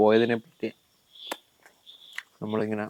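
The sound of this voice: This man's voice is dark and mellow in tone. It sits at a fairly low pitch.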